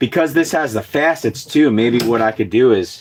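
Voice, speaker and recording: The recording is very clean and the background silent. In it, the man talks at a moderate pace. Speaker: axe maker and woodworker livestreaming. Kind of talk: casual livestream chat while working. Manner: casual, halting with fillers.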